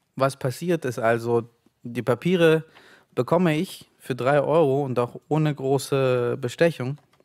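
Against a quiet background, a man speaks with fairly even intonation and a fairly high pitch. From Ukraine (Kyiv), raised in Leipzig from age 8. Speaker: author. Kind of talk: reading aloud. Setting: stage with audience. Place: stage. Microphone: studio mic.

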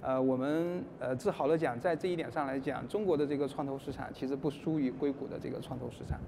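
Over noticeable background noise, a man with a fairly high pitch and a dark, mellow tone speaks at a very fast pace with hardly any pauses and ordinary pitch variation. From China. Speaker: investor; panellist. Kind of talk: panel talk. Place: stage.

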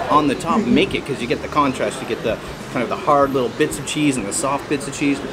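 A man speaks at a very fast pace with ordinary pitch variation. Loud background noise runs behind him. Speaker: travel food vlogger. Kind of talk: casual vlog chat. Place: cafe.

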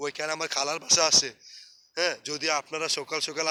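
A man speaks in a bright, sharp tone at a fairly high pitch. His intonation is monotone and flat. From Bangladesh, Sylhet. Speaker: vlogger. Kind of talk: casual vlog narration. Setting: outdoors.

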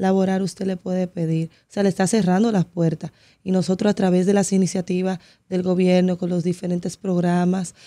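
The tone is dark and mellow, the intonation monotone and flat, and the background quiet. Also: woman. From Dominican Republic, Santo Domingo; Dominican Republic. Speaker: political candidate; candidate. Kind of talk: radio interview. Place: studio. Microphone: studio mic.

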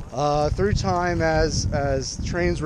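The recording captures a man in a dry sound with no echo. Noticeable background noise runs underneath. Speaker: urban exploration vlogger. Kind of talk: casual vlog chat. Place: open country. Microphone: phone near.

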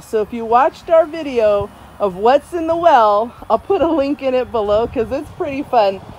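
A high female voice with lively intonation at a moderate pace, dry with no echo, over light background noise. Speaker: homeowner DIY vlogger. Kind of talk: casual vlog chat. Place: garden. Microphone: phone near.

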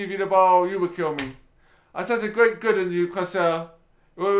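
With ordinary pitch variation, the passage is delivered in a natural reading voice.

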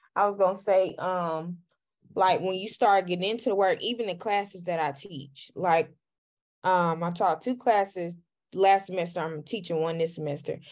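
The voice has a slightly mellow tone and ordinary pitch variation. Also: woman, fairly low pitch for a woman, moderate pace.

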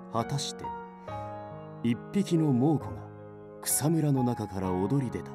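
Over background music, a man speaks fairly slowly with big swings in loudness. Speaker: voice actor. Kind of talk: audiobook literature reading.

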